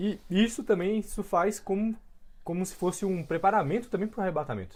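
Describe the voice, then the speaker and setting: A woman with a medium-pitched, unremarkable speaking voice talks at a fairly quick pace, her pitch rising and falling in an ordinary way. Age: young. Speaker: podcast host. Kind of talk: interview.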